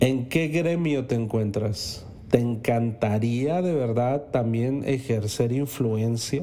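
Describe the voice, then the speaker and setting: A man's medium-pitched voice, dark and mellow in tone, at a very slow pace with hardly any pauses. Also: ordinary pitch variation. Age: 40s. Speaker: podcast host. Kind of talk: motivational monologue. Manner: animated.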